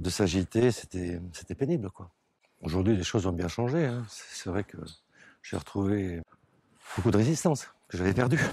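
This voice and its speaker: At a moderate pace, a man with a fairly low pitch and a dark, mellow tone uses lively intonation, big swings in loudness and long, frequent pauses. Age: 60s. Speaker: kidney transplant patient. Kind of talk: testimony. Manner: halting, repeats words.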